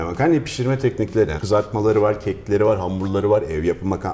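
A man with a fairly low pitch talks while noticeable background noise plays. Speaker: chef. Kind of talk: casual chat.

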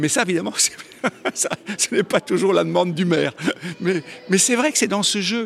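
Lively intonation from a man amid noticeable background noise. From Belgium. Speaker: comic book artist. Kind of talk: interview.

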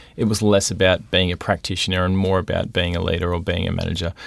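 Someone speaks very fast with an Australian accent and flat, monotone intonation in a very clean recording with a silent background. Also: man. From southeast Queensland, Australia (Logan). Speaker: university administrator. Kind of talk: interview.

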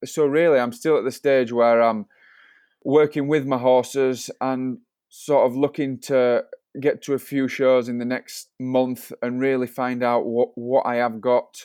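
A man with a British accent speaks at a fairly slow pace in a medium pitch, his dark, mellow tone flat and monotone, with a dry, close sound, no echo and a quiet background. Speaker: showjumper. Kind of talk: interview.

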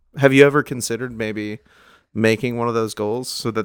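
Fairly even intonation and a fairly brisk pace in a normal speaking voice. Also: man. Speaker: comedian. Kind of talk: casual chat.

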